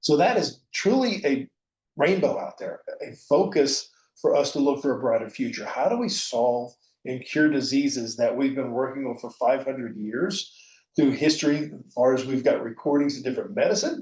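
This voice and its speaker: A man talks at a moderate pace with a fairly high pitch. His voice is somewhat breathy and his intonation lively. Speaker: conference speaker. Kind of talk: conference presentation. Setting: virtual conference.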